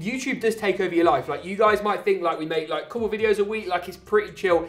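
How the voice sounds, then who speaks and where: Over noticeable background noise, a high-pitched man talks at a very fast pace in an animated tone with lively intonation. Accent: English. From England. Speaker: tech YouTuber, PC builder. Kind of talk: casual Q&A.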